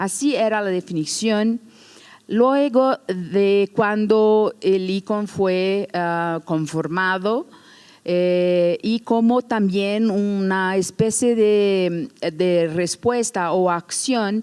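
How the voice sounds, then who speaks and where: Speaking at a very slow pace, a woman has a medium pitch and ordinary pitch variation. She talks with a non-native accent. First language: Portuguese (speaking Spanish). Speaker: museum educator. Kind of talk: lecture. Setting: stage with audience. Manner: halting.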